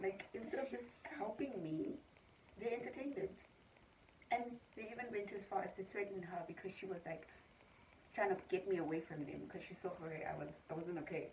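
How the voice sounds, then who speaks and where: A woman at a moderate pace with very wide pitch swings and long, frequent pauses, over light background noise. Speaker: vlogger. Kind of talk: casual vlog chat. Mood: upset, recounting harassment. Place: home room. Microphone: phone near.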